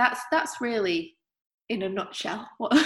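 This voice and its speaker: Her pitch swings very widely as the woman talks at a moderate pace in a somewhat breathy voice. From northern England, Manchester. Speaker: artist. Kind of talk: interview.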